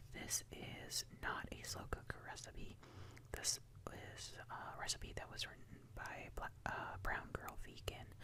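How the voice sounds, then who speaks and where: The speaker whispers. The pace is very slow. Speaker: ASMR creator. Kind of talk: soft-spoken ASMR ramble. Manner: soft-spoken.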